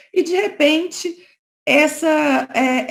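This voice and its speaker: Here we hear a woman. There is a somewhat breathy quality to how she sounds. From Brazil, Minas Gerais. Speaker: lawyer. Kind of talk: conference talk. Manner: conversational, frequent fillers.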